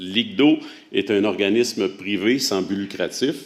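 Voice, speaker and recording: Ordinary pitch variation marks this man's fairly low voice, delivered with a Quebec accent. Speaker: horticulture researcher presenting a project. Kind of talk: conference presentation. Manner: hesitant, many filler sounds.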